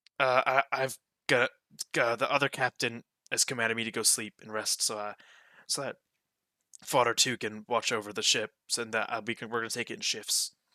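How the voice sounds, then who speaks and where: A man uses a raspy, put-on character voice, medium in pitch and flat in a monotone. His pace is fairly quick, broken by long, frequent pauses. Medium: virtual streamer. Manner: polite, hesitant, stammering.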